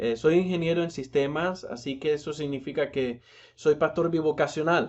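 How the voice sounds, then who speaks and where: A man talks at a moderate pace in a fairly high pitch. His intonation stays fairly even. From Nicaragua. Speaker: pastor and seminary lecturer. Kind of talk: recorded lecture. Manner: halting, many fillers and restarts.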